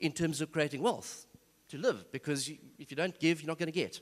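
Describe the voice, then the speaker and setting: On a very clean recording with a silent background, a man with a fairly high pitch talks at a very fast pace with ordinary pitch variation. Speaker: seminar speaker. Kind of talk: church seminar talk.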